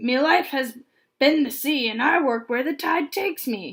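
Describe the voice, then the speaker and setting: A woman's put-on character voice, high-pitched and gruff, at a moderate pace. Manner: scowling, gruff.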